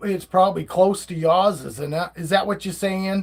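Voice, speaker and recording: A man speaks with a Maine accent at a high pitch. His intonation stays fairly even. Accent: Maine accent, noticeable beside other Mainers. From northern Maine. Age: 50s. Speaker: live streamer, snake keeper. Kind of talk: casual live stream chat. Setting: live stream. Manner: halting, many fillers and restarts.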